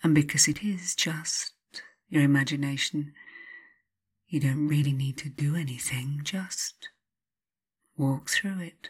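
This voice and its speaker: Soothing and calm, a woman speaks fairly slowly in a very deep, low, somewhat breathy voice with fairly even intonation and long, frequent pauses. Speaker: hypnotherapist. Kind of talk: guided hypnosis relaxation session. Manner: slow, soothing, calm; gentle, repetitive, hypnotic pacing.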